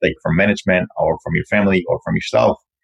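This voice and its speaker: A man speaks at a very fast pace with a dry, close sound and no echo. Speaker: podcast co-host. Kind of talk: interview.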